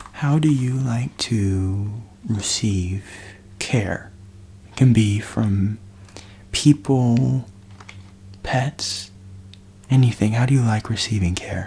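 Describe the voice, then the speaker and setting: A soft-spoken man talks at a very slow pace with a warm tone, leaving long, frequent pauses. Light background noise can be heard. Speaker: ASMR creator playing hotline operator. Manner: warm, reassuring, with sleepy pauses and murmured 'mm-hmm'. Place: home room. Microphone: studio mic.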